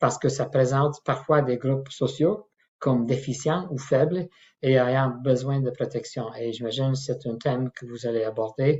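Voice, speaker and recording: A somewhat breathy man's voice of medium pitch, fairly slow in pace, with ordinary pitch variation. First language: not French (French is his third language) (speaking French). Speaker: professor and clinical ethicist. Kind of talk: lecture. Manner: halting, many hesitations.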